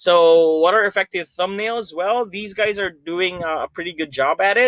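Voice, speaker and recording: Loud and high-pitched, a man speaks at a moderate pace in a dry, close sound with no echo. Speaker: YouTuber. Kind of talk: tutorial. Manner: hesitant, many fillers.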